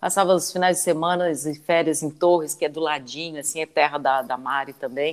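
This woman has a very deep, low pitch and speaks at a fairly quick pace with fairly even intonation. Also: hardly any pauses. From southern Santa Catarina, Brazil. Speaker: radio host. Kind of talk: live interview.

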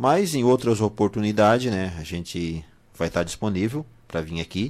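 On a very clean recording with a silent background, a man's fairly low voice moves through very wide pitch swings. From southern Brazil. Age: 40s. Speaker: bakery owner. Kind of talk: radio interview.

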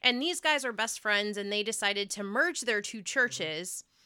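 On a very clean recording with a silent background, a woman with an American accent speaks in a fairly high pitch and a bright, sharp tone, the sound dry and close with no echo. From Ohio. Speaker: marriage podcast co-host. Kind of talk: casual chat.

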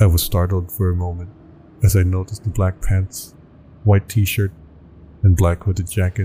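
In a dramatic tone, a man with a very deep, low pitch speaks at a moderate pace in a monotone, flat intonation, leaving long, frequent pauses. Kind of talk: creepypasta horror narration, first-person scripted storytelling. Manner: tense, dramatic, rising dread toward the end.

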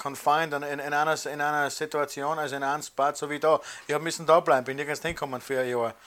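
Talking at a very fast pace, a man with a fairly high pitch keeps his intonation monotone and flat amid noticeable background noise. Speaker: emigrant interviewee. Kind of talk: interview testimony.

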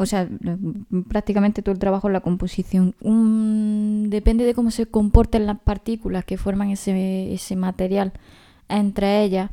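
Over a silent background on a very clean recording, a woman speaks at a medium pitch and a moderate pace. Her tone is dark and mellow, with a monotone, flat intonation. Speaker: podcast co-host. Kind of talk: casual chat.

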